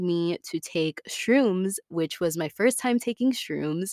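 With an American accent, a woman talks in a fairly low pitch, animated in tone and ordinary in pitch variation, at a moderate pace. The sound is dry and close with no echo, in a very clean recording with a silent background. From Tampa, Florida. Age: 20s. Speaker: podcast host. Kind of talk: casual personal monologue.

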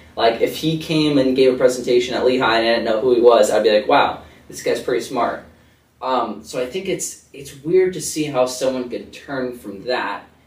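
With an American accent, a man speaks at a fairly quick pace amid audible room echo. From Connecticut. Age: young. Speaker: college student and startup founder. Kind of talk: casual interview.

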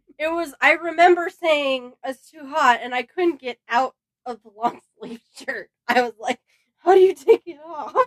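The delivery is fairly slow, with lively intonation and big swings in loudness. The sound is dry and close, with no echo. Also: woman, high pitch for a woman. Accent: American. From Southern California. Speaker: host's sister, bride-to-be. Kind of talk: casual chat. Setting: her bedroom, makeshift studio.

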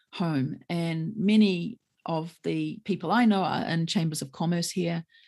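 A woman's fairly low voice in a New Zealand accent, dark and mellow in tone, with ordinary pitch variation. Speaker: lawyer. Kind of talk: interview conversation.

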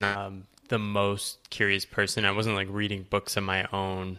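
The speaker has an American accent and a bright, sharp tone. The recording is very clean, with a silent background. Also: man. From US Northeast, rural Connecticut. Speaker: writer and coach. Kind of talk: interview conversation.

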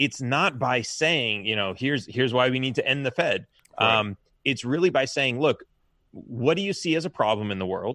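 The voice carries a Californian accent and a bright, sharp tone. The recording is very clean and dry, with a silent background, a close sound, and no echo. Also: man, medium pitch for a man, moderate pace. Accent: General American, Californian. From US West Coast, Los Angeles. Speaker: presidential candidate, software engineer. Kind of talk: interview. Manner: halting.

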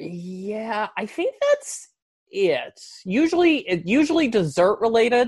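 Someone with a Southern US accent speaks at a very slow pace. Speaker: podcast host. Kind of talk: casual interview chat.

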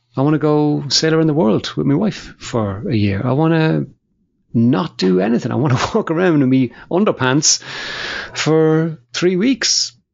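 A man speaks in a normal speaking voice at a fairly high pitch and a moderate pace. His intonation is lively and his loudness very even. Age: 50s. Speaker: podcast host. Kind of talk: casual chat.

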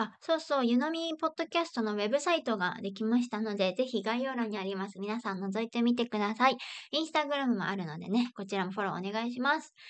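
Lively intonation marks this woman's fairly high-pitched voice. She talks at a very fast pace, with hardly any pauses. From Japan. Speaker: podcast host. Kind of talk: scripted intro; casual chat.

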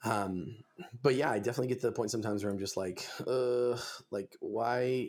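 A man's plain, everyday voice, medium in pitch, at a fairly quick pace. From Southern California (Simi Valley, near Los Angeles). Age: 20s. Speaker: metal musician. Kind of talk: podcast interview.

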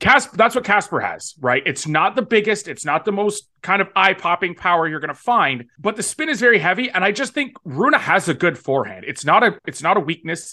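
A man's raised, projected voice, high for a man, bright and sharp, with very wide pitch swings, a fairly quick pace and hardly any pauses, over a quiet background. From Toronto, Canada. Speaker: tennis betting analyst. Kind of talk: casual chat.

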